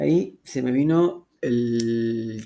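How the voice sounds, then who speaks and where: A man's dark, mellow tone at medium pitch, with ordinary pitch variation. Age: 50s. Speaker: cancer survivor. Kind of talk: testimony.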